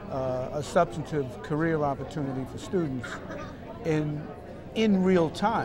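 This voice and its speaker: With a Boston accent, a man speaks very slowly with lively intonation. Audible room echo and crowd noise fill the background. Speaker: school superintendent. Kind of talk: interview. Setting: conference summit event.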